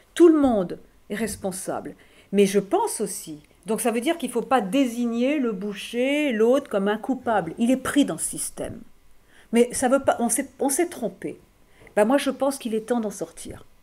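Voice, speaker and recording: On a very clean recording with a silent background, a woman speaks at a moderate pace in a dark, mellow tone at a fairly high pitch. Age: 50s. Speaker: philosopher. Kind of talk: school talk answering questions. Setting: high school classroom event. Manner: halting.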